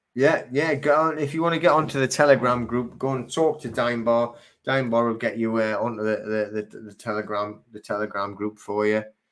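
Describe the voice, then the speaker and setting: Speaking fairly quickly with a Geordie accent, a man uses a medium pitch and ordinary pitch variation. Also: very clean recording, silent background. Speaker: live stream host. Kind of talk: live stream chat reading viewer comments. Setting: live video stream. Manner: casual, halting with fillers.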